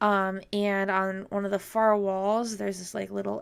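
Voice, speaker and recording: A woman speaks at a medium pitch and moderate pace with monotone, flat intonation. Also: very clean recording, silent background. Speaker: vlogger. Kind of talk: casual vlog narration. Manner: hesitant, many fillers. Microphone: new mic.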